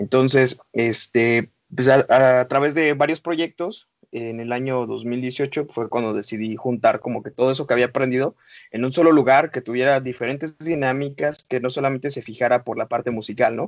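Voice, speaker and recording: A man with an ordinary speaking voice talks at a moderate pace, medium in pitch, with fairly even intonation. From Mexico, Estado de México (Coacalco). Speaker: founder of an independent music media outlet. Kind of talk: podcast interview.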